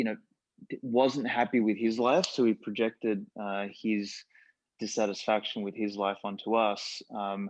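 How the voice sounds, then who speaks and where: At a fairly slow pace, a man with a fairly low pitch speaks in an Australian accent with fairly even intonation. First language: Macedonian. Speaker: podcast host. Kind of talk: casual chat.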